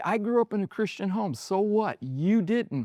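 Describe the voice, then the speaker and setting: A man at a high pitch with a dark, mellow tone, very wide pitch swings and a moderate pace. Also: dry, close sound with no echo. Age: 60s. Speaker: pastor. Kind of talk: podcast interview. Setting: bar.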